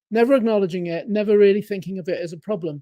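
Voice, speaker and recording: Someone speaks at a very fast pace with an English accent. The recording is very clean, with a silent background. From England. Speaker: life coach and productivity author. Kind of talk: podcast interview, storytelling. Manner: animated, acts out dialogue.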